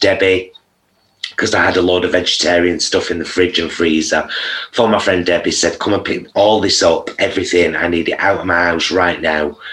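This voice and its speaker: In a strong Greater Manchester accent, a man talks at a moderate pace with a very deep, low pitch and monotone, flat intonation. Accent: strong Oldham. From Oldham, northern England. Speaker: vegan content creator. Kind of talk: casual interview chat.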